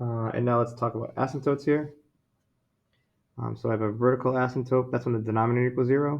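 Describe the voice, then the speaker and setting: Very fast yet broken by long, frequent pauses, a man speaks with monotone, flat intonation. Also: medium pitch for a man. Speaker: math teacher. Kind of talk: lecture.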